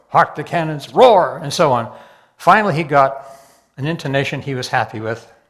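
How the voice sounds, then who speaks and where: Audible room echo surrounds a man whose fairly high voice has big swings in loudness. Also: ordinary pitch variation, moderate pace. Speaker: amateur comedian. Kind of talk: stand-up. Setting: stage with audience. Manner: halting.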